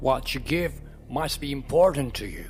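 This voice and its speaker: Against clear background noise, a man puts on a character voice, fairly high in pitch and at a moderate pace. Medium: read story. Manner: sly, curt.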